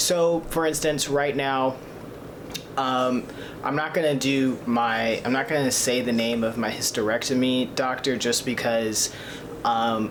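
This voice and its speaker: A man talks at a fairly slow pace and medium pitch, his loudness very even and his intonation fairly even, with audible room echo and noticeable background noise. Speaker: vlogger documenting gender transition. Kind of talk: casual vlog. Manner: hesitant, many fillers.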